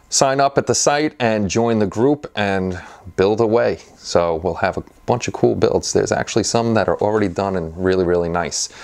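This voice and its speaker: A man with an ordinary speaking voice talks at a moderate pace, his fairly low pitch showing ordinary variation against a quiet background. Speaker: channel host. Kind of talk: casual vlog chat. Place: workshop. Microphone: lapel.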